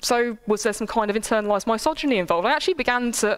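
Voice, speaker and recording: Over noticeable background noise, a woman talks at a very fast pace in a high pitch with an animated tone. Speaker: lecturer. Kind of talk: lecture.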